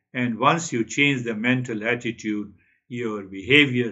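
A man speaks at a very slow pace with ordinary pitch variation. The background is quiet. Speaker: spiritual teacher. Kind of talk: spiritual talk. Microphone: webcam.

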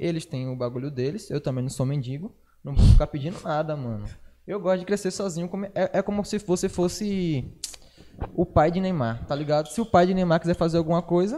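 This man's voice sits high in pitch, with ordinary variation and a fairly quick pace. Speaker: podcast host and rap artist; podcast guest or co-host. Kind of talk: casual chat. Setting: live stream. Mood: relaxed, informal slang talk. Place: studio. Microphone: studio mic.

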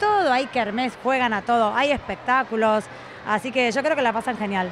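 Noticeable background noise but a dry sound with no echo, under a woman's high-pitched voice at a moderate pace, with ordinary pitch variation and very even loudness. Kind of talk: interview answer. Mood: cheerful, laughing. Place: hall. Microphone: handheld.

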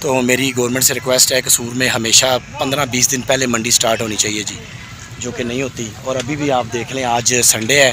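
Noticeable background noise accompanies a man speaking at a moderate pace in a flat monotone, the sound dry with no echo. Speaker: vlogger. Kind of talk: casual vlog chat. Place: market. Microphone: phone near.

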